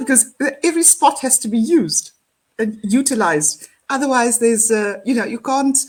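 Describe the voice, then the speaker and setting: This is a woman's voice. She speaks with a South African accent. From South Africa, Cape Town area. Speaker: empowerment speaker. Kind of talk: casual chat.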